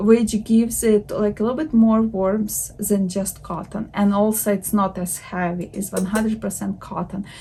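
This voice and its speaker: A woman with a non-native accent speaks at a medium pitch with hardly any pauses over noticeable background noise. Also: fairly even intonation, moderate pace. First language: not English. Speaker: knitting vlogger. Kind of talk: casual vlog talk. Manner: hesitant, with filler words.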